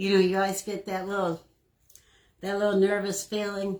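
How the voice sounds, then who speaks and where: A woman's voice at a medium pitch. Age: 70s. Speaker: crafting livestream host. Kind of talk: casual livestream chat while crafting.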